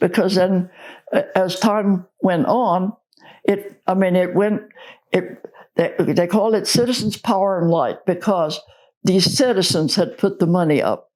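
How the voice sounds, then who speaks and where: A woman speaks at a medium pitch with very even loudness and ordinary pitch variation. She leaves long, frequent pauses. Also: fairly slow pace. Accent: American. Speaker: oral history interviewee, church member. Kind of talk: oral history interview answer.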